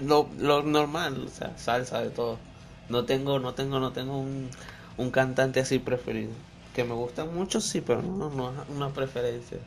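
This man speaks at medium pitch and a moderate pace, his intonation fairly even. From Venezuela. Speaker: DJ and music producer. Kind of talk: casual chat interview.

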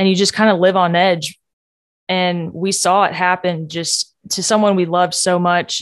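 In a quiet background, a woman with a medium pitch speaks at a moderate pace with monotone, flat intonation. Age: 20s. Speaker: podcast host sharing personal story. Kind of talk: personal testimony monologue. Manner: casual with fillers and laughs.

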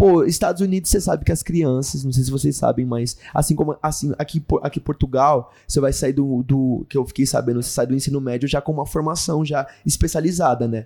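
With hardly any pauses, a man talks at a fairly quick pace in a dark, mellow, somewhat breathy voice with a fairly high pitch and ordinary pitch variation. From Brazil, São Paulo (ABC Paulista). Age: 20s. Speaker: actor and missionary. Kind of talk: casual interview.

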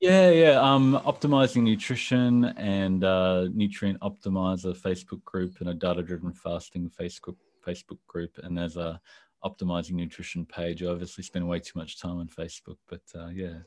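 With an Australian accent, a man with a very deep, low pitch speaks at a moderate pace against a quiet background. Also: ordinary pitch variation. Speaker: civil engineer and nutrition blogger. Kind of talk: interview.

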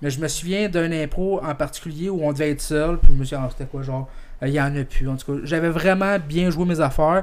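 A man talks at a fairly quick pace in an unremarkable speaking voice, fairly high in pitch, with fairly even intonation. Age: 20s. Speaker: podcast host. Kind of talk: casual chat.

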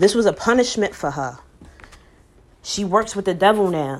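A woman's medium-pitched voice, animated in tone, with lively intonation and a moderate pace. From New York. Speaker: podcast host, model. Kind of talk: casual monologue.

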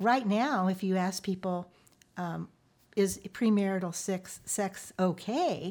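A woman at a medium pitch speaks at a very slow pace on a very clean recording with a silent background. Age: 70s. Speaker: Bible study teacher. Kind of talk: casual chat.

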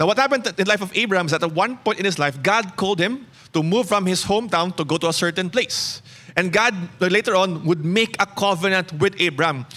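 A man speaks very fast in a high, bright, sharp voice that is raised and projected. His loudness stays very even, and his pitch varies in an ordinary way. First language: Cebuano. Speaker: pastor. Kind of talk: sermon. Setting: church.

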